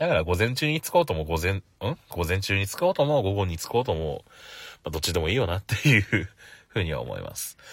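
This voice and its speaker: Very wide pitch swings mark this man's somewhat breathy, fairly low voice, delivered at a very fast pace. The recording is very clean, with a silent background. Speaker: podcaster. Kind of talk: casual solo talk. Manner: laughs often.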